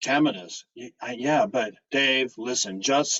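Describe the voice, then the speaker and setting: The speech comes at a fairly slow pace. It is a put-on character voice. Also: man. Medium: read story. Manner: halting, fearful.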